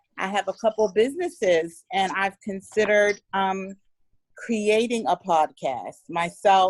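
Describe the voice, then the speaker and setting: Speaking with an American accent, a woman with an ordinary speaking voice talks at a medium pitch and fairly slow pace, with ordinary pitch variation and a dry, close sound with no echo. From Pittsburgh, Pennsylvania. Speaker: sorority member, business owner. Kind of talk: self-introduction on group call.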